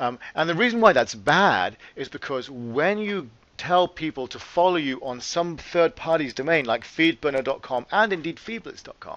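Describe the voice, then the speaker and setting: The speaker is a man whose intonation is lively. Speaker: company CEO. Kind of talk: webcast presentation with slides. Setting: webcast. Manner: conversational, some filler words.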